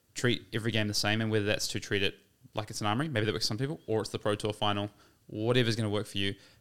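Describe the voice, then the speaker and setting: A man talks at a very fast pace with a New Zealand accent. His pitch is fairly low and his intonation fairly even. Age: 20s. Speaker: competitive card game player. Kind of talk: casual chat.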